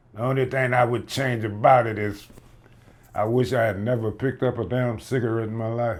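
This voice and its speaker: His pitch is medium and his pace fairly quick. The man's intonation stays monotone and flat. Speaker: interviewee father. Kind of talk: casual interview.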